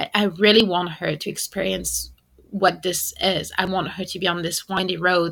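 A woman at medium pitch and a moderate pace, with vocal fry and monotone, flat intonation. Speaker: podcast host, psychologist. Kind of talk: casual monologue. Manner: unscripted, hesitant.

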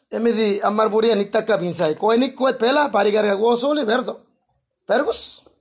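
A man with a high-pitched voice speaks at a fairly slow pace with ordinary pitch variation. His loudness stays very even. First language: Guna (Kuna) (speaking Spanish). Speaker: pastor. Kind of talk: sermon. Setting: church.

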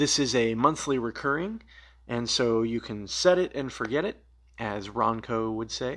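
A man with an ordinary speaking voice, medium pitch, ordinary pitch variation, and a moderate pace. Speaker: podcast host. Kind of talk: solo Q and A episode, casual monologue. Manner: conversational, with fillers.

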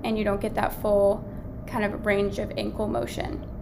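The woman's voice comes with audible room echo and noticeable background noise. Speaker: medical student podcast host. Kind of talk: educational lecture.

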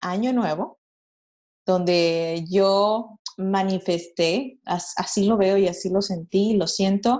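This woman's voice is medium in pitch and varies in an ordinary way. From Monterrey, northern Mexico. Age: young. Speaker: entrepreneur. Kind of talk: interview. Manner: hesitant with repetitions.

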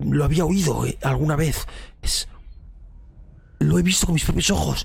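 A raspy, put-on character voice. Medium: actual play. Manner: frightened, halting, breathless.

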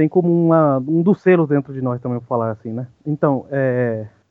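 The speaker is a man with a fairly slow delivery. Ordinary pitch variation runs through his speech. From Paraguay, Ciudad del Este. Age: 30s. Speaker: podcast guest. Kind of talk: casual chat. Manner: halting.

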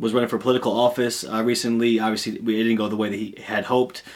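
Very fast and monotone, a man talks with flat intonation at a medium pitch. He has an American accent. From Peoria, Illinois. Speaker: podcast host. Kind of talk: casual interview.

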